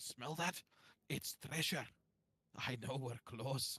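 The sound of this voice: A man performs a put-on character voice at a medium pitch. He speaks at a very slow pace.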